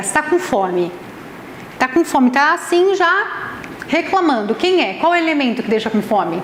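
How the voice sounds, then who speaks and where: An animated woman with a Brazilian accent talks at a moderate pace, her pitch swinging very widely. The room echo is audible and the background noise is noticeable. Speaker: nutritionist and ayurvedic therapist giving a talk. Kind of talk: lecture. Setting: event venue with live audience.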